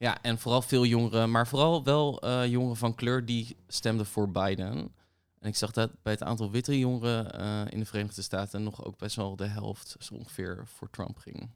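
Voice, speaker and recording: On a very clean recording with a silent background, a man with an ordinary speaking voice talks at medium pitch with fairly even intonation. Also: moderate pace. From The Hague, Netherlands. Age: 20s. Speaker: barista and youth activist. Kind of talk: casual chat.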